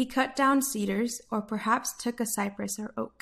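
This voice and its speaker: A somewhat breathy woman's voice at a fairly high pitch and moderate pace, with fairly even intonation, on a very clean recording with a silent background. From United States. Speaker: Bible reader, daily devotional voice service. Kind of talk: Bible passage reading, devotional narration.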